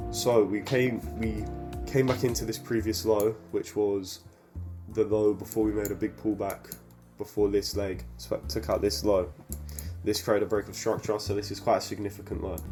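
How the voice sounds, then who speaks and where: A moderate pace of speech with music in the background. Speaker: forex trader. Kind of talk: screen-recorded trade review voiceover.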